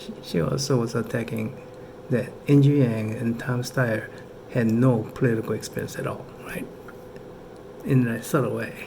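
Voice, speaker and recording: A man at a moderate pace, fairly even in intonation, with long, frequent pauses and audible room echo. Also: medium pitch for a man. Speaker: political commentator vlogger. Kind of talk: casual commentary. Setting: indoors at home at night, kids asleep. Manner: casual, halting with fillers.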